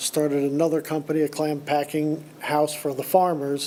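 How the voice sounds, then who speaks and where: Over noticeable background noise, a man with a fairly high pitch speaks in a flat, monotone way. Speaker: clam farmer. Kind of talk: public comment at meeting.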